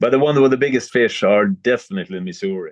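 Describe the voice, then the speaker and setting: A man talks at a very fast pace with a Swedish accent. His pitch variation is ordinary. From Sweden. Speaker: fly tyer and fishing guide. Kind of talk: tutorial. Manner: halting.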